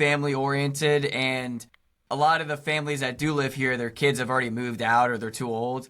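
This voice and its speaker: Loud and fairly quick, a man with a fairly high pitch and a bright, sharp tone shows ordinary pitch variation on a very clean recording with a silent background. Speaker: YouTuber. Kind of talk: casual interview chat.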